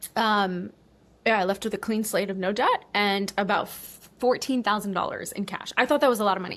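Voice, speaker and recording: A woman speaks with a New York accent at a fairly quick pace. Her tone is animated and her pitch is medium. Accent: American (New York). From US, New York, Cuban American family. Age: 30s. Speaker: online business coach and former travel vlogger. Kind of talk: casual interview chat.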